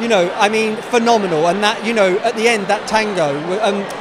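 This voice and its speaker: A man at a fairly quick pace with ordinary pitch variation amid noticeable background noise. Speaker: audience member. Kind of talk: interview answer. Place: hall. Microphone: handheld.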